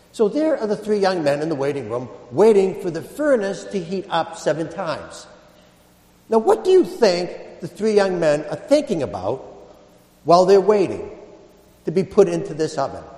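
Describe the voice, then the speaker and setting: At a moderate pace, a man speaks with a high pitch amid noticeable background noise. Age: 50s. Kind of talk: sermon.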